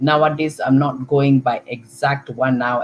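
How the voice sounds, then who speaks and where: A woman speaks with a Kenyan accent. She talks at a very slow pace. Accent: Kikuyu. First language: Kikuyu. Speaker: online talk show host. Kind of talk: live talk show monologue. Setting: live stream. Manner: hesitant, with filler words and repetitions.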